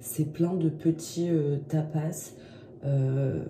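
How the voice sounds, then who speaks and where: A woman speaks very slowly with a very deep, low pitch. Her intonation is flat and monotone, with noticeable background noise. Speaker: vlogger. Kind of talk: casual vlog talk.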